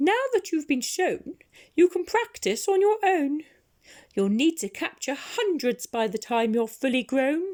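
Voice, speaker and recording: This woman puts on a character voice, high-pitched and fairly slow. Her pitch swings very widely. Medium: read story.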